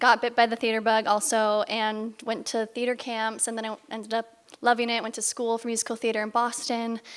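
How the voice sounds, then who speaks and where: A woman with a General American accent, fairly high pitch, a bright, sharp tone and monotone, flat intonation. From Bay Area, California. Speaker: musical theater actor. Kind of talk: panel Q&A talk.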